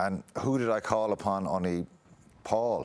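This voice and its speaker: A man in a Munster Irish accent on a very clean recording with a silent background. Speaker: former rugby player. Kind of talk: interview.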